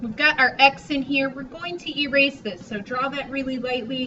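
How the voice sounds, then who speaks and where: There is noticeable background noise as a woman talks in a high pitch. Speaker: art teacher. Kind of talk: tutorial. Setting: recorded drawing lesson video. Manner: casual.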